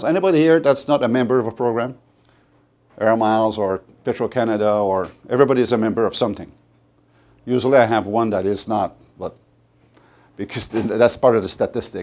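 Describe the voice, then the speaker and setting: A man with a Quebec accent talks at a very fast pace yet leaves long, frequent pauses. His pitch is medium, with ordinary variation. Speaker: sales presenter. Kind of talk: sales presentation to an audience. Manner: halting, many fillers and restarts.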